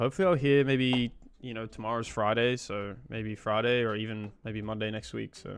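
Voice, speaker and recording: A man's fairly quick speech in an Australian accent. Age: 20s. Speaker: programming streamer. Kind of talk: casual live-stream chat while coding. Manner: casual, filler-heavy.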